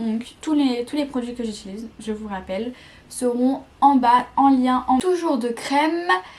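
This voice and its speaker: Ordinary pitch variation marks this woman's speech. Her voice is high-pitched. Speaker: beauty vlogger. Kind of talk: casual product review. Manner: hesitant, many fillers and repetitions.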